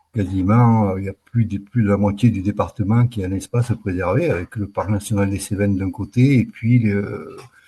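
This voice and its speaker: The voice is somewhat breathy, with fairly even intonation. It moves at a moderate pace with hardly any pauses. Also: man, fairly low pitch for a man. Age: 60s. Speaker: retired wildlife manager. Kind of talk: casual interview. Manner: halting, with many hesitations.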